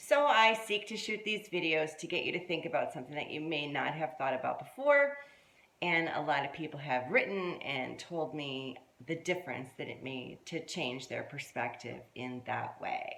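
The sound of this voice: This voice has lively intonation, vocal fry and a fairly bright tone at a moderate pace. The room echo can be heard. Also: woman, low pitch for a woman.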